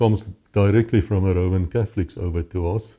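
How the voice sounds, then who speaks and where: A fairly low-pitched man with a South African accent, a dark, mellow tone, ordinary pitch variation and a fairly quick pace, on a very clean recording with a silent background. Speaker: former policeman and author. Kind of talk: interview testimony.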